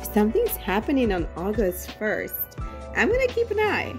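A woman talks at an unhurried, middling speed. Music can be heard behind her. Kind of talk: excited unboxing vlog chat. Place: home room. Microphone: phone near.

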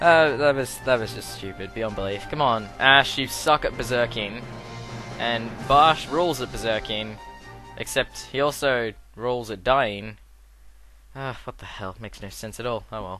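With music in the background, the speech moves at a moderate pace in big swings of loudness, the sound dry with no echo. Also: man, ordinary pitch variation. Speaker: let's play commentator. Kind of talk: casual game commentary.

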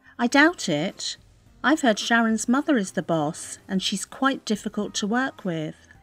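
Over music in the background, a woman speaks fairly slowly at a fairly high pitch, her pitch swinging very widely. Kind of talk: scripted English-learning dialogue.

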